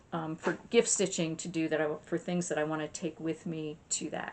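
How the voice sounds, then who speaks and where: Noticeable background noise is present. Through it comes a woman's voice. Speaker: cross stitch video host. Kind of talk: casual show-and-tell chat. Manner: fast; hesitant fillers.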